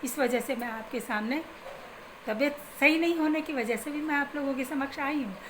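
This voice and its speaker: There is audible room echo around a woman's high voice, which moves with ordinary pitch variation. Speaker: spiritual remedy advisor. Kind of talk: religious advice talk.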